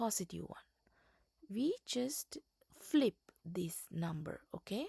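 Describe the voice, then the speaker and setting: The pace is very slow. The speaker has a non-native accent. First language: not English. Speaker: self-taught tutor for GED students. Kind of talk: tutorial. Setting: slide presentation. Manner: halting, many fillers and restarts.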